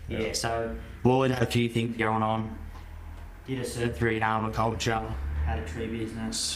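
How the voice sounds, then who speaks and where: Speaking at a moderate pace with long, frequent pauses, a man with an Australian accent has a medium-pitched voice and ordinary pitch variation, with audible room echo around him. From Australia, Helensburgh NSW (south of Sydney). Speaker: farmer. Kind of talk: podcast interview. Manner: casual.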